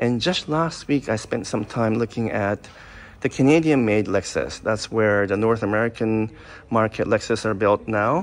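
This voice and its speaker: A normal speaking voice from a man, fairly low in pitch and moderate in pace, with light background noise. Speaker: car reviewer. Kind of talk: casual review commentary. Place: shop. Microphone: phone near.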